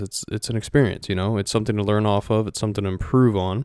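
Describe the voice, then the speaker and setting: In a very clean recording with a silent background, a man with a Midwestern American accent speaks at a fairly low pitch. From Ohio, US Midwest. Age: 20s. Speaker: podcast host. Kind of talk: solo monologue podcast. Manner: casual, with many fillers.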